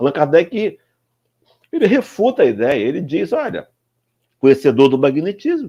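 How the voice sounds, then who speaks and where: A man talks at a fairly slow pace in a dark, mellow tone. His pitch swings very widely, and the background is quiet. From Brazil. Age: 60s. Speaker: spiritist speaker. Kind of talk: lecture. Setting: live stream.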